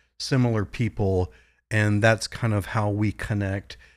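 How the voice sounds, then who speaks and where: A man's plain, everyday voice with an American accent, fairly low in pitch and fairly slow, on a very clean recording with a silent background. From Virginia, US (Virginia Beach). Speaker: psychologist. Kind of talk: panel discussion.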